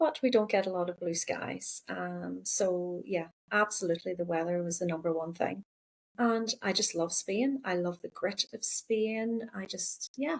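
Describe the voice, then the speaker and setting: With a Northern Irish accent, a woman speaks at a fairly slow pace and a medium pitch with ordinary pitch variation. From Northern Ireland. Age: 50s. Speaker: counsellor and psychotherapist. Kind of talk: podcast interview.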